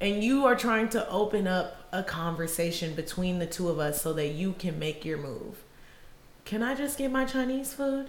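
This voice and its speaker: An animated woman with an American accent speaks at a moderate pace and medium pitch. Her pitch swings very widely, and there is noticeable background noise. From Illinois and Georgia, US. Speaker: podcast co-host. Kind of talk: casual chat.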